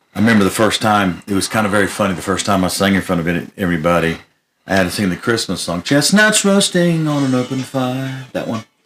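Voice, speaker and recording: A man speaks with an American accent in a plain, everyday voice. His pace is fairly quick, and his pitch varies in an ordinary way. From Florida. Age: 60s. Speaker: country music artist. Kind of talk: casual chat.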